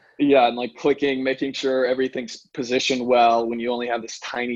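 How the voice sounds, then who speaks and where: A man speaks fairly quickly with an American accent, his medium-pitched voice held in a flat monotone. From Pittsburgh, Pennsylvania. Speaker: chiropractor. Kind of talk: interview.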